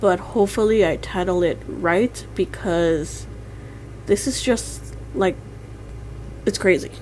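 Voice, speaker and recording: Shaky and very slow, a woman speaks with long, frequent pauses. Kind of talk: commentary narration.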